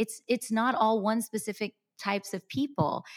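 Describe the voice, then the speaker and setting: Speaking at a moderate pace in an animated tone, a woman with a Texas accent sounds dry and close, with no echo. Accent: American English, Texas. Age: 30s. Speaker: content creator. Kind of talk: interview.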